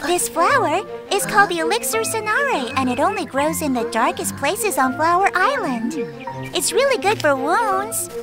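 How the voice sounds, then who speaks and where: A cartoonish character voice, high-pitched and at a moderate pace, over loud background music. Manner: earnest, explanatory, a bit fearful.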